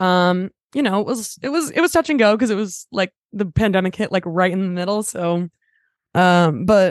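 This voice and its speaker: A woman at medium pitch and moderate pace, against a quiet background. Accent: Californian. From Los Angeles, San Fernando Valley. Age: 20s. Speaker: singer-songwriter. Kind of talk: casual chat. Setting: remote call from parents' house.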